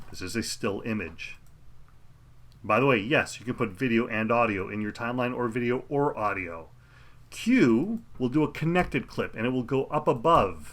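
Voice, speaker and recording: At a moderate pace, this plain, everyday voice has lively intonation. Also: man, medium pitch for a man. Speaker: professional video editor teaching software. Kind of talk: tutorial. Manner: casual, conversational.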